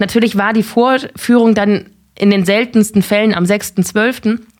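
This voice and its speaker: Fairly slow and fairly even in intonation, a woman speaks in a plain, everyday voice with a fairly high pitch. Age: 30s. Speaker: film journalist. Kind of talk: casual chat.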